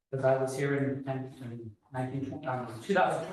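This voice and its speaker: A man is speaking. Room echo can be heard. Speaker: school finance officer presenting budget. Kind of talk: board meeting financial report. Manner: hesitant fillers (uh).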